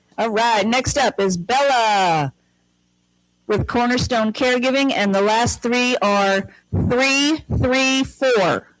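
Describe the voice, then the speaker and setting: A woman's fairly high voice at a very slow pace, ordinary pitch variation and very even loudness, with music in the background. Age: old. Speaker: senior services event host. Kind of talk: event announcements, door prize raffle. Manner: animated.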